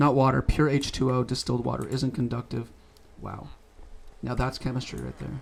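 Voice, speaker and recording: The speaker has a Canadian accent and talks at a fairly quick pace, broken by long, frequent pauses. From Canada. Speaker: gaming streamer. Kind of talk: casual gameplay commentary. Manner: casual, rambling with fillers.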